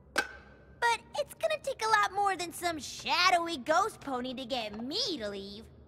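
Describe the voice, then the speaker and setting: A female-sounding cartoonish character voice at an extremely high pitch leaps through very wide pitch swings with hardly any pauses over clear background noise. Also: moderate pace. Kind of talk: cartoon voice acting. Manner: brash, cocky.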